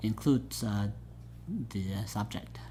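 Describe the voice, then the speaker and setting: A man with a Southeast Asian accent at a fairly slow pace. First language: Hmong. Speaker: pastor. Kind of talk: oral history interview. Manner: halting, many fillers.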